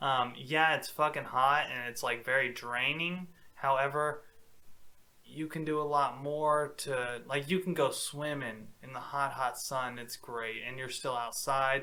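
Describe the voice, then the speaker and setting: At a fairly slow pace, a man with an American accent speaks in a bright, sharp tone with fairly even intonation. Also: fairly high pitch for a man. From Texas. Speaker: podcast co-host. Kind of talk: casual chat.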